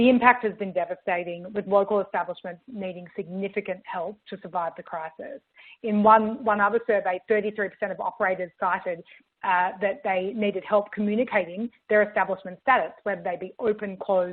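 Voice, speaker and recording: A woman with an Australian accent, medium pitch, fairly even intonation and a fairly quick pace. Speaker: marketing tech executive. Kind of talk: webinar presentation. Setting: virtual event.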